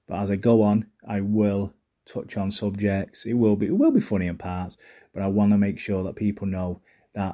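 A man's fairly low, dark, mellow voice in a Mancunian accent, monotone and flat, at a moderate pace. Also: very clean recording, silent background. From Manchester, northern England. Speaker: mental health podcaster. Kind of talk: personal monologue.

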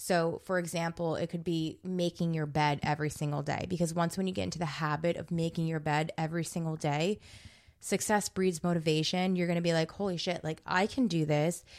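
A woman's plain, everyday voice with an American accent, fairly low in pitch, fairly quick and fairly even in intonation, in a very clean recording with a silent background. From New Jersey. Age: 20s. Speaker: podcast host. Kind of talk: casual chat.

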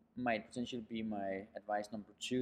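A man with a Danish accent at a moderate pace, in a flat monotone. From Denmark, near Copenhagen. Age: 30s. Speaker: startup founder and CEO. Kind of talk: interview. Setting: high-ceilinged room in New York. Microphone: poor sound quality, echo from high ceilings.

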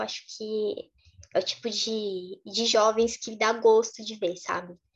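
This woman's voice sits at a fairly high pitch. Her intonation is monotone and flat. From Brazil. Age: 20s. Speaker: activist and content creator on Middle East topics. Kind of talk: interview.

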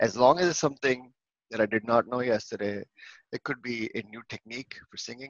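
Against a quiet background, a man with an Indian accent talks at a fairly quick pace and medium pitch, with ordinary pitch variation, big swings in loudness, long and frequent pauses, and a dry, close sound with no echo. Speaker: engineering leader. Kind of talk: casual chat. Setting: video call.

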